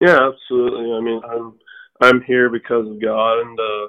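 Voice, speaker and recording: Speaking with an American accent, a man keeps a medium pitch and a monotone, flat intonation at a moderate pace. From New Mexico, US. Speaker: professional baseball pitcher. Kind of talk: interview.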